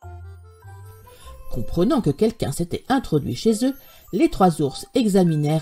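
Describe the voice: This clip is plain reading aloud.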